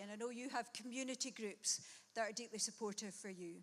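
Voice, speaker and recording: With a Glasgow accent, a woman speaks at a fairly high pitch, her pitch varying in an ordinary way. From Scotland, Glasgow. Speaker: guest preacher. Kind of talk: sermon.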